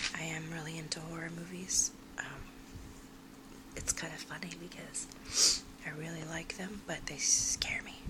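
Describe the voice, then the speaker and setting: A soft-spoken woman talks at a moderate pace with long, frequent pauses. Her loudness swings a lot, and there is noticeable background noise. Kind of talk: ASMR soft-spoken magazine browsing; casual talk to camera.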